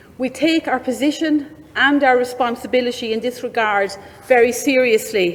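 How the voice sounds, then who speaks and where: A woman's high-pitched voice with an Irish accent, fairly even intonation and a moderate pace, over noticeable background noise. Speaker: government minister. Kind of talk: prepared conference speech. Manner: formal.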